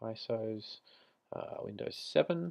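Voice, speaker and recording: This is a man speaking with an Australian accent. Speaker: IT tutorial creator. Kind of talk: screen-recorded tech tutorial. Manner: casual, conversational.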